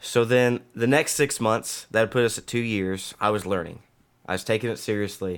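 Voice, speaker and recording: Speaking in a plain, everyday voice, a man with a medium pitch and fairly even intonation keeps a moderate pace on a very clean recording with a silent background. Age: 30s. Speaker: military instructor and streamer. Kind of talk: casual chat.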